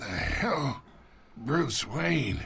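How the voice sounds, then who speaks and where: A man speaks in a raspy, put-on character voice at a medium pitch. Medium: cartoon. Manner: mocking, familiar.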